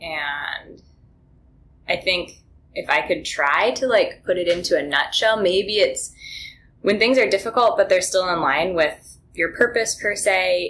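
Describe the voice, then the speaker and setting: With an American accent, a woman speaks in a plain, everyday voice at medium pitch, using lively intonation and a fairly slow pace. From northern Minnesota, Iron Range. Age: 20s. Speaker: wellness advocate and former business consultant. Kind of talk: podcast interview.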